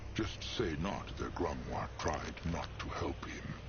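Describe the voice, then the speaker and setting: A man puts on a character voice and speaks fairly slowly while loud background noise fills the recording. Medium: game stream. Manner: grumbling, third-person speech.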